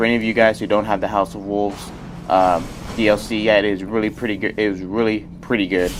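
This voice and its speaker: Music plays in the background as a man speaks. His pitch is fairly low and his pace very fast. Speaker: gaming youtuber. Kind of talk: gameplay commentary. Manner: halting, many fillers; casual.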